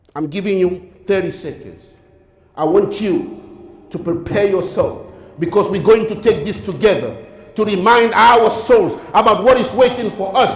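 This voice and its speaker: The voice has a solemn tone and ordinary pitch variation at a moderate pace. Background noise is noticeable. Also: man, high pitch for a man. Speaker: Islamic lecturer. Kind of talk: Islamic sermon / lecture on death. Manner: earnest, solemn, rhetorical.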